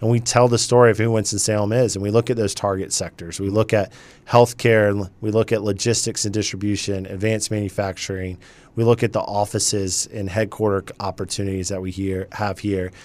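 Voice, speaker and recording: The speaker has an American accent and a flat, monotone delivery at a fairly quick pace. The recording is very clean, with a silent background. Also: man, fairly low pitch for a man. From US South, Charleston, South Carolina. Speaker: chamber of commerce president. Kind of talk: radio interview. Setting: radio studio.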